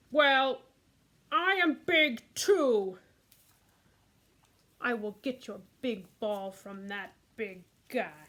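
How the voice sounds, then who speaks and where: In a cartoonish character voice, a woman talks at a very slow pace with a high pitch and long, frequent pauses. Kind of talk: puppet story reading.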